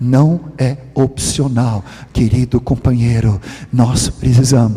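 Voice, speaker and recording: Noticeable background noise sits behind a man talking very slowly. His pitch is medium, with ordinary variation. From Sweden. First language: Swedish (speaking Portuguese). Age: 60s. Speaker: preacher. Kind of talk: sermon. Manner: animated.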